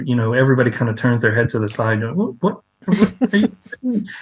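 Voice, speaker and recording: A man is speaking. His voice is somewhat breathy. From South Louisiana (Cajun). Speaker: author. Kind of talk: interview.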